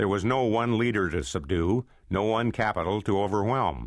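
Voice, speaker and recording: Vocal fry and lively intonation with an American accent, against a quiet background. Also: man. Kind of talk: history audiobook narration.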